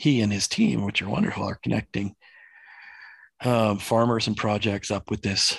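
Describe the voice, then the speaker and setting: A man's normal speaking voice, fairly low in pitch, with ordinary pitch variation, a moderate pace, a dry, close sound with no echo, and a quiet background. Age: 40s. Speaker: livestock farmer. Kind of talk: interview conversation.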